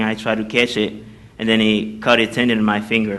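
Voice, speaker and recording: A man's bright, sharp voice, monotone and flat, at a fairly quick pace. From Haiti. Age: young. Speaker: college student. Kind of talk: testimony. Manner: halting.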